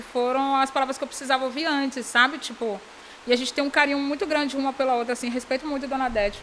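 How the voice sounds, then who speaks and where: A woman projects her high-pitched voice, speaking loudly. Noticeable background noise can be heard. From Bahia, Brazil (Salvador area). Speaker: entrepreneur, fashion brand founder. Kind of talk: casual interview chat. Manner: animated, frequent laughter.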